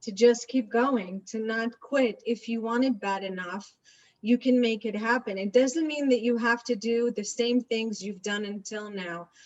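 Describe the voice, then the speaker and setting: At a moderate pace, a woman with an Israeli accent talks in a fairly high voice with ordinary pitch variation. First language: Hebrew. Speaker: real estate agent. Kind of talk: interview. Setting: video webinar.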